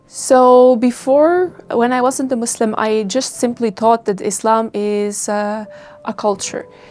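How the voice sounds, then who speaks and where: Noticeable background noise sits under this recording. A woman speaks at a fairly high pitch with ordinary pitch variation. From Estonia. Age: 20s. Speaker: university student, convert interviewee. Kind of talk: interview testimony. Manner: hesitant, with fillers.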